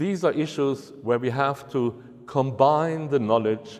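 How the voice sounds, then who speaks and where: A man speaks in a German accent with lively intonation. His pace is fairly slow. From Germany. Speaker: university researcher. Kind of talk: lecture.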